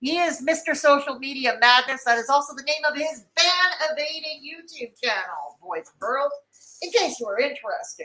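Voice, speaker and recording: Her raised, projected voice is high and bright, with a sharp tone. The woman moves at a moderate pace with very wide pitch swings. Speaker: livestream commentator. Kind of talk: casual livestream chat reading comments.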